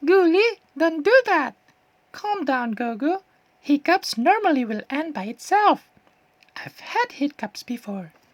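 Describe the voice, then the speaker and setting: Putting on a squeaky character voice, a woman speaks high with very wide pitch swings and big swings in loudness. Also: fairly slow pace. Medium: read story. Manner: gentle, soothing.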